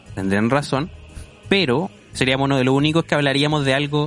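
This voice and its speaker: In a Chilean accent, a man speaks very fast at medium pitch with ordinary pitch variation, over noticeable background noise. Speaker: podcast guest. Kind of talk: casual chat. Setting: at home.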